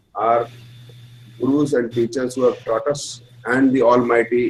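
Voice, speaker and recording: Here a man speaks at a medium pitch with an Indian accent. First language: Hindi. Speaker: astrology teacher. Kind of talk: lecture.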